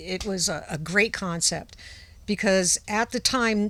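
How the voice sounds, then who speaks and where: In a New England accent, a woman talks fairly slowly at a medium pitch, her tone bright and sharp and her intonation fairly even. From Rhode Island, outside Providence. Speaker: former radio personality. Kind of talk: casual chat.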